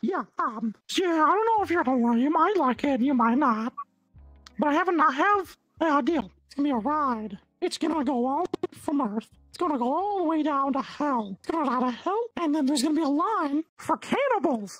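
Moderate pace in a put-on character voice. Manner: scheming, casual.

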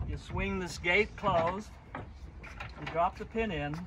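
A man's voice amid loud background noise. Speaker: boat designer and sailor. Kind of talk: casual how-to demonstration. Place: waterside.

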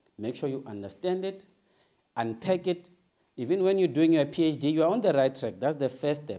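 A dark, mellow tone comes through at a fairly quick pace with lively intonation. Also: man. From South Africa, Soweto. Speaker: motivational speaker. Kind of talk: motivational talk. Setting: stage with audience. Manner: animated.

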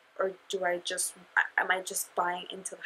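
Quietly, a woman talks at a medium pitch with a bright, sharp tone. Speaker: beauty vlogger. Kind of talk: makeup review vlog. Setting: at home, sleeping baby in room. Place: home room.

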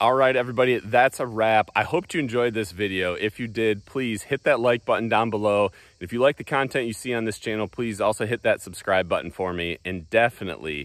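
Speaking at a fairly quick pace with hardly any pauses, a man shows ordinary pitch variation in a dry sound with no echo and a quiet background. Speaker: product reviewer. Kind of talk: casual vlog chat. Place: garden. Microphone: phone near.

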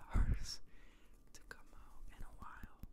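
A man whispers at a fairly slow pace. His tone is relaxed. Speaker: ASMR creator. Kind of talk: ASMR talk to camera. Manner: soft-spoken, relaxed. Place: home room. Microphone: studio mic.

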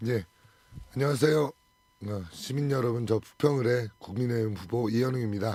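The voice has a dark, mellow tone and ordinary pitch variation. It moves at a moderate pace with long, frequent pauses. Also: man, medium pitch for a man. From South Korea, Incheon (Bupyeong). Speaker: parliamentary candidate, lawyer. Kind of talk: radio interview. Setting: radio studio.

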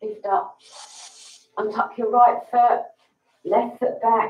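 Audible room echo surrounds a woman speaking at a very slow pace. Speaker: yoga instructor. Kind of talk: guided yoga class, calm step-by-step instructions. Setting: livestream to online audience. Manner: calm, slow, soothing cueing; slightly nervous, friendly, chatty. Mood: calm, soothing. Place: home room. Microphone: camera far.

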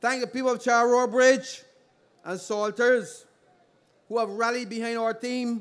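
A man with a Barbadian accent at an extremely high pitch, monotone and flat, at a fairly slow pace with long, frequent pauses. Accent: Barbadian (Bajan) English. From Barbados. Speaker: politician. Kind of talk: political rally speech. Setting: outdoor public meeting on playing field. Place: stage. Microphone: podium.

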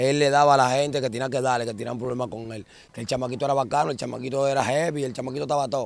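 A man speaks at a very fast pace with fairly even intonation, in a dry recording with no echo. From Dominican Republic, Santo Domingo (La Ciénaga / Guachupita); Dominican Republic. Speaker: former gang member turned musician; interviewee. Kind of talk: casual interview on a neighborhood walking tour. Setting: outdoors in narrow alleys. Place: street. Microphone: handheld.

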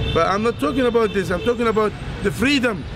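Noticeable background noise surrounds a man speaking with a high pitch. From Egypt. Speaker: Islamic preacher. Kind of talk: interview answer. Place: street. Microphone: lapel.

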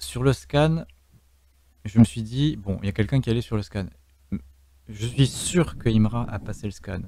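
A man's medium-pitched voice with a dark, mellow tone and vocal fry, lively intonation, a fairly slow pace and long, frequent pauses. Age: 30s. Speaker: streamer and game host. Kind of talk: live game stream commentary. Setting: voice chat from home. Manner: animated.

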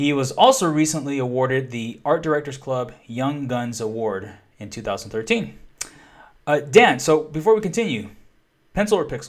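Against a quiet background, a man speaks with an enthusiastic tone and lively intonation at a moderate pace. His pitch is fairly high, and his loudness swings widely. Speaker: podcast host. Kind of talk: interview. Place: home room. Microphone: webcam.

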